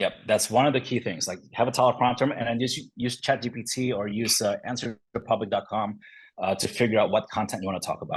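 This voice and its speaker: Very fast speech with fairly even intonation over a quiet background. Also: man, medium pitch for a man. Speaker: real estate team leader. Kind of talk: webinar interview.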